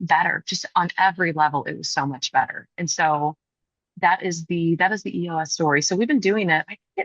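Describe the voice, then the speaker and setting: In a dry, close sound with no echo, a woman with a plain, everyday voice speaks at a fairly low pitch with ordinary pitch variation. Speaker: group practice owner and business consultant. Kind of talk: interview.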